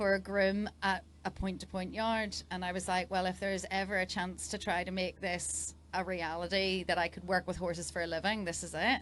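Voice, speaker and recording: A woman with an Irish accent talks at a moderate pace in a medium pitch, her intonation flat and monotone, with vocal fry. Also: hardly any pauses. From Northern Ireland. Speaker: dressage rider and coach. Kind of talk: casual interview. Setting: event fan zone.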